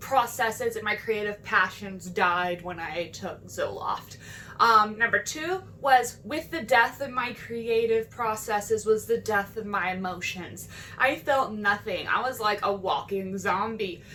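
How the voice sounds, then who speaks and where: A woman's fairly high pitch at a fairly slow pace, with ordinary pitch variation and noticeable background noise. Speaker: mental health vlogger. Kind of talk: casual vlog monologue.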